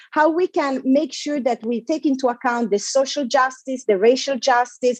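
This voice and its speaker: A woman speaks with an Italian accent, high in pitch with ordinary variation. Her moderate pace comes through in a dry, close sound with no echo. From Italy. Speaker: panelist on digital policy. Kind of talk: conference talk. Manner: halting, repeats words.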